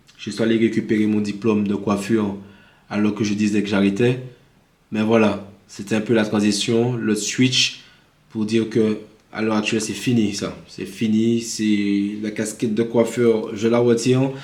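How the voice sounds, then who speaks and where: In a Martinican accent, a man speaks at a fairly slow pace and fairly low pitch with monotone, flat intonation, and audible room echo surrounds him. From Martinique. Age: 30s. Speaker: vlogger. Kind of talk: casual vlog monologue. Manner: improvised, hesitant with fillers.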